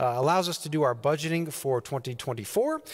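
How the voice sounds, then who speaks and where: Behind the man, the background is quiet. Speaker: pastor. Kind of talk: church announcements. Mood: warm, friendly. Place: church.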